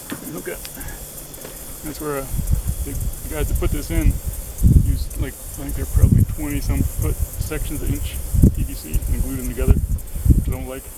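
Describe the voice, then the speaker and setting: With big swings in loudness, a man speaks at a moderate pace broken by long, frequent pauses, over noticeable background noise. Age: 60s. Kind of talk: casual DIY narration to camera. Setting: outdoors.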